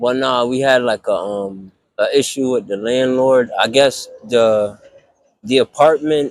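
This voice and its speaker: Fairly slow speech with an American accent, ordinary pitch variation and a dry, close sound with no echo. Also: man, medium pitch for a man. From Hartford, Connecticut, US. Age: 30s. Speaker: homeless man. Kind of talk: interview. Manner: halting.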